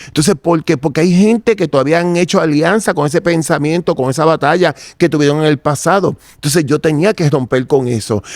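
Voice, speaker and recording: An unremarkable speaking voice, this man's runs at a fairly quick pace with hardly any pauses, a fairly high pitch, ordinary pitch variation and very even loudness. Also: dry, close sound with no echo. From Puerto Rico, Santurce. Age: 60s. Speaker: interviewee giving religious testimony. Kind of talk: testimony.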